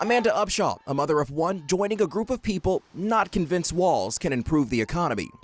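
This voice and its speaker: A man with a high voice speaks at a fairly quick pace with lively intonation. Noticeable background noise can be heard. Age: 20s. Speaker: news anchor and reporter. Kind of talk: news reporting; live field reporting.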